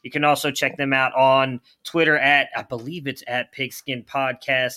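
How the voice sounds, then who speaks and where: A man speaks at a moderate pace in an ordinary speaking voice. His pitch is fairly high. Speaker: podcast host. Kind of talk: casual sports podcast talk. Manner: conversational, leads the show.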